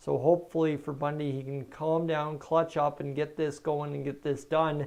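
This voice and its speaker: In a strong Canadian accent, a man talks at a fairly slow pace with a fairly high pitch and monotone, flat intonation. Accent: thick Canadian. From Canada, northern Alberta. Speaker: baseball stream commentator. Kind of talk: live play-by-play commentary. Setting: live stream.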